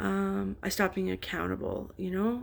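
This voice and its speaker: A woman speaks quietly. Her pace is moderate. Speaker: vlogger in addiction recovery. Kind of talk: casual vlog monologue. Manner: hesitant, many fillers.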